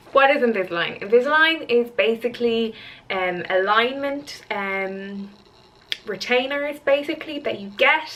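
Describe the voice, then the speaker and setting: With a Dublin accent, a woman speaks fairly slowly in a high voice with lively intonation and big swings in loudness, against noticeable background noise. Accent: Irish (Dublin area). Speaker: vlogger and fitness model. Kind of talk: vlog. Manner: casual, hesitant with fillers.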